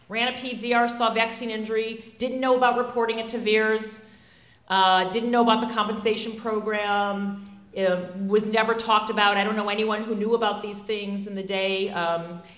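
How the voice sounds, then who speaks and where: Flat, monotone intonation from a woman with a fairly high pitch at a moderate pace, with audible room echo. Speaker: physician. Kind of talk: speech. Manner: loud.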